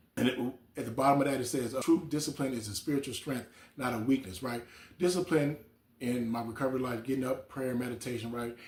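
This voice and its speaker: At a very fast pace, a man delivers his words somewhat breathily. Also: medium pitch for a man. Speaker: recovery coach. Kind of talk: motivational talk. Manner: casual, repetitive filler.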